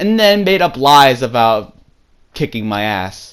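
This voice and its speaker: His tone animated, a man with a fairly high pitch talks at a fairly slow pace and swings his pitch very widely. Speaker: YouTuber telling personal stories. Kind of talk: casual storytelling. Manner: stuttering, self-correcting; rambling, animated.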